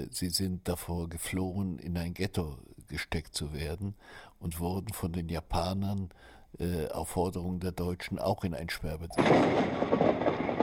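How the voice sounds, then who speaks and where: At a very slow pace, a man talks in a very deep, low pitch with fairly even intonation, and the recording is very clean with a silent background. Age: 70s. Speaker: writer. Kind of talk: interview testimony.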